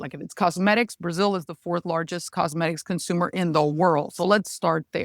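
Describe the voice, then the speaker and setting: A woman with a Spanish accent at a moderate pace, in a dry, close sound with no echo. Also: very clean recording, silent background. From Mexico. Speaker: regulatory affairs lawyer and consultant. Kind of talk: podcast interview.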